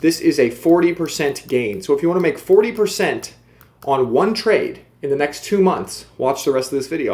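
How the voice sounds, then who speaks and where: An animated tone with lively intonation at a fairly quick pace. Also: man. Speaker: crypto youtuber. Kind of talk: video commentary.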